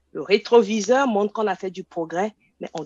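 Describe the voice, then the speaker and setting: At a moderate pace, a woman speaks at a medium pitch with lively intonation, her voice dry and close with no echo against a quiet background. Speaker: professor and researcher. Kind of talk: panel discussion.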